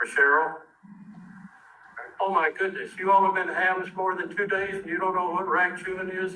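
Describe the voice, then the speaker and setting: Raised and projected, a man's high-pitched voice moves at a moderate pace in a monotone, flat delivery with long, frequent pauses. Noticeable background noise and audible room echo fill the recording. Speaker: ham radio presenter. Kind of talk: club meeting talk. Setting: meeting with audience. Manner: casual.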